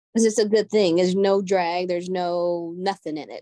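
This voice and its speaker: In a plain, everyday voice, a woman speaks at a fairly quick pace with a medium pitch and ordinary pitch variation against a quiet background. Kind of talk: casual chat. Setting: video call.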